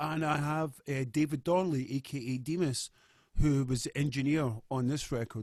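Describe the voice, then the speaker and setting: A man speaks with a Scottish accent at a moderate pace, his pitch fairly high with ordinary variation. The recording is very clean, with a silent background. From Scotland, Glasgow. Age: 40s. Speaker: musician. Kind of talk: interview.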